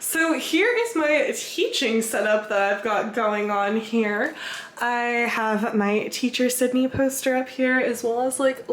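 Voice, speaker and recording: Over noticeable background noise, a woman with a high pitch talks at a fairly slow pace with ordinary pitch variation and hardly any pauses. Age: 20s. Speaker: travel vlogger. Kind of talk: vlog narration. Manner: casual.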